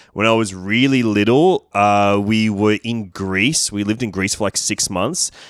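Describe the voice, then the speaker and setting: This is a very clean recording with a silent background. An Australian accent comes through in the speech. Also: man, dry, close sound with no echo. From Sydney, inner west. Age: 30s. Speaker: comedian and film critic. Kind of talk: casual chat.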